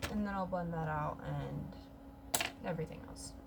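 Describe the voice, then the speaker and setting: A woman's voice comes through audible room echo, with noticeable background noise present too. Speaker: beauty vlogger. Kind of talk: makeup tutorial vlog.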